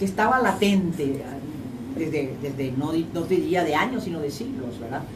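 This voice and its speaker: A woman speaks fairly quickly, her pitch making very wide swings. Audible room echo and noticeable background noise fill the recording. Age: 80s+. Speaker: former ambassador. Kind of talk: radio interview.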